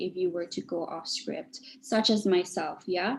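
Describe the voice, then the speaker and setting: The pace of this woman's speech is fairly slow. There is a somewhat breathy quality to her voice. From Malaysia. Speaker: public speaking coach. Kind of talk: webinar Q&A advice.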